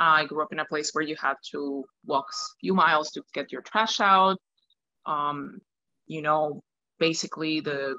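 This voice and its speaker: Dry and close with no echo, a woman with a Spanish accent speaks at a fairly slow pace in a very deep, low pitch and bright, sharp tone, with ordinary pitch variation. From Venezuela, Caracas. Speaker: opera singer. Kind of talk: interview.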